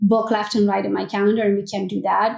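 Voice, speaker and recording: The speaker has a Romanian accent. The pace is fairly quick, with ordinary pitch variation. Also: woman. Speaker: real estate agent and team leader. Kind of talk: podcast interview answer. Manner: blunt, opinionated; energetic.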